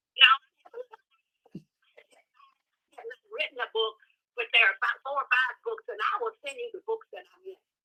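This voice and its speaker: A woman with a high pitch speaks in a raised, projected voice at a moderate pace, her pitch swinging very widely. Long, frequent pauses break up her speech, and the sound is dry and close with no echo. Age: 80s+. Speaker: artist. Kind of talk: interview answers. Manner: halting.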